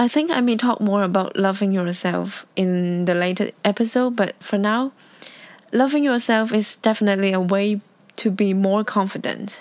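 The pace holds moderate. This woman's speech carries a non-native accent. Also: medium pitch for a woman, ordinary pitch variation, very even loudness. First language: Cantonese. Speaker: podcaster. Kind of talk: casual solo talk.

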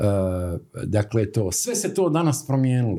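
His pitch swings very widely. This man keeps a moderate pace. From Herzegovina, Stolac. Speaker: graphic designer. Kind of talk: casual interview.

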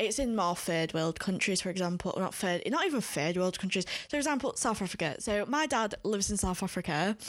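In a Yorkshire accent, a woman talks fairly quickly with hardly any pauses, her medium-pitched voice very even in loudness and lively in intonation. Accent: northern English, Yorkshire. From Leeds, northern England. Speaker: podcast co-host. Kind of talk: casual chat.

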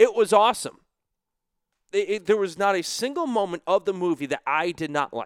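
High-pitched and animated, a man speaks at a moderate pace in a dry, close sound with no echo. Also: lively intonation. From Western Massachusetts. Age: 20s. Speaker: sports podcast host and hockey broadcaster. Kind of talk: solo podcast monologue.

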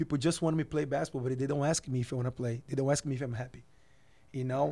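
Speaking with a Portuguese accent, a man with a fairly high pitch and a dark, mellow tone keeps his intonation fairly even. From Brazil. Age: 20s. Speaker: professional basketball player. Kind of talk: interview. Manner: halting.

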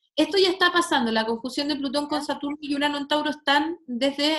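A woman with a Chilean accent and ordinary pitch variation. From Chile, Santiago. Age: 30s. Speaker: astrologer and sociologist. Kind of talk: casual chat. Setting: video call.

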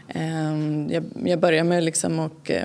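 Against noticeable background noise, a woman talks at a very slow pace. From Blekinge, southern Sweden. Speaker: textile artist and illustrator. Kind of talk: interview. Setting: art gallery. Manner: halting.

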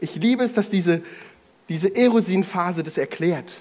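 A man talks in a high voice. His delivery has lively intonation. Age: 30s. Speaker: preacher. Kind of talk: sermon. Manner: fast; casual.

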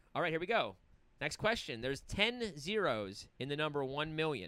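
A man with a fairly high pitch and a bright, sharp tone swings very widely in pitch at a moderate pace, with vocal fry. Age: 40s. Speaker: podcast host. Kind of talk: casual chat.

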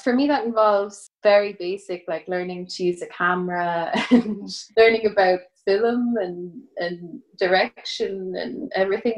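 In an Irish Midlands accent, a woman talks at a fairly slow pace. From Ireland, County Offaly (Midlands). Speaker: composer. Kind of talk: casual interview.

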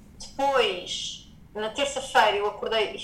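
A woman speaks at a fairly high pitch. Noticeable background noise and audible room echo surround her. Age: 30s. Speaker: yoga teacher and wellness entrepreneur. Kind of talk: personal testimony in interview.

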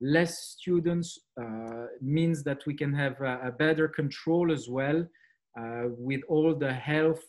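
Speaking very slowly with a French accent, a man uses a fairly high pitch and fairly even intonation in a very clean recording with a silent background. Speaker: school managing director. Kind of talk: presentation. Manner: hesitant with fillers.

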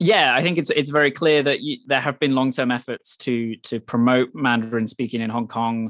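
Medium in pitch, a man with a Welsh accent talks with hardly any pauses in a dry, close sound with no echo. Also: ordinary pitch variation, moderate pace. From Wales. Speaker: journalist and author. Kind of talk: interview. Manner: halting, many repetitions.

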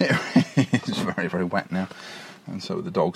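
Noticeable background noise sits behind a man who talks at a moderate pace, his pitch swinging very widely. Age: 40s. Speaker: podcaster. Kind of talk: casual monologue. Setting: in a car; outdoors on a beach.

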